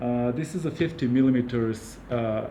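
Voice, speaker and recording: The speaker has a Serbian accent. There is audible room echo. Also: man. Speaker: camera gear reviewer. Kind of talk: product review. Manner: hesitant, many fillers.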